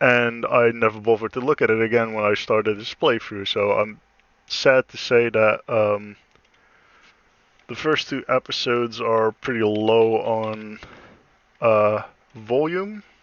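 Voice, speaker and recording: A man mumbling at a medium pitch and a fairly slow pace, with fairly even intonation and long, frequent pauses. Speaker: gaming streamer. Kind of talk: gameplay commentary. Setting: live stream. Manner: halting.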